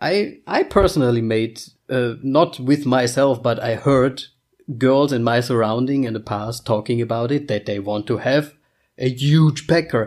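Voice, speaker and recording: With a German accent, a man talks fairly slowly at a medium pitch on a very clean recording with a silent background. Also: ordinary pitch variation. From Germany. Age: 30s. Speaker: podcast co-host. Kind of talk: casual chat.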